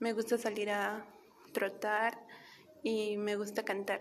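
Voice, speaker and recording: A woman speaks very slowly, her pitch fairly high. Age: 20s. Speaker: university student. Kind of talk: self-introduction. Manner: halting.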